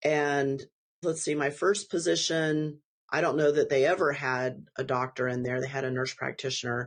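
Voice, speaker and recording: Here a woman with an American accent speaks in a very deep, low pitch with ordinary pitch variation. Her pace is moderate, and the background is quiet. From Texas. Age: 50s. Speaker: family physician. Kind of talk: interview.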